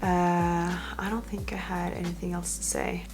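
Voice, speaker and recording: Over music in the background and with audible room echo, a woman speaks at a fairly slow pace. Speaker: fitness vlogger. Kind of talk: casual vlog talk to camera. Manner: hesitant, many fillers.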